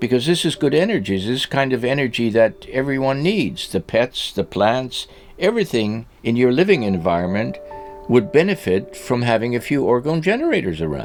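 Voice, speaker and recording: Music plays in the background as a man speaks at a moderate pace. His medium-pitched voice moves in very wide pitch swings. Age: 80s+. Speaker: orgonite maker. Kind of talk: casual chat. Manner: halting.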